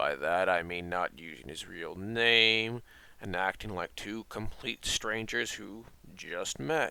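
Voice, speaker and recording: In a put-on character voice, a man talks at a fairly slow pace with a fairly low pitch. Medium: audio drama. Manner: calm, reassuring.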